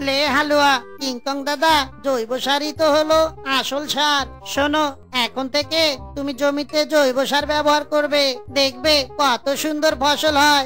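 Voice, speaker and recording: A cartoonish character voice at a fairly slow pace, with clear music in the background. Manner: jokey, uses comic catchphrase.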